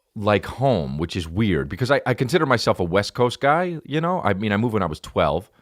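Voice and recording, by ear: A man at a fairly low pitch with vocal fry, very wide pitch swings and a fairly quick pace. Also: very clean recording, silent background.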